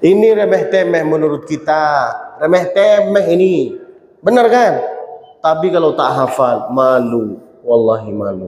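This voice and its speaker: Very wide pitch swings from a man with a fairly high pitch, amid audible room echo and noticeable background noise. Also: fairly slow pace. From Saudi Arabia, Mecca. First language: Arabic (speaking Indonesian). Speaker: preacher. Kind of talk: sermon. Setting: mosque. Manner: not fluent in Indonesian.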